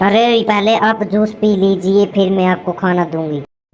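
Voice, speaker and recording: A woman puts on a cartoonish character voice at medium pitch. She keeps her intonation fairly even and her pace moderate. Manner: gentle, concerned.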